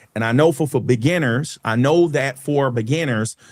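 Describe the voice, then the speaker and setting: A man with a normal speaking voice at medium pitch, moderate pace and ordinary pitch variation, in a very clean recording with a silent background. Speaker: stock market educator, channel host. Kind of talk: live stream market recap and Q&A. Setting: live stream. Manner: explanatory, self-correcting.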